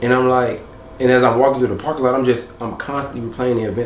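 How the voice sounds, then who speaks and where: Over noticeable background noise and audible room echo, a man talks very fast at medium pitch with monotone, flat intonation. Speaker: vlogger. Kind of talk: casual vlog monologue.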